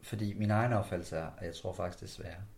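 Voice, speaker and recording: Somewhat breathy and with fairly even intonation, a man's voice carries audible room echo. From West Jutland, Denmark (Skjern/Ringkøbing area). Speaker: podcast host. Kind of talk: interview.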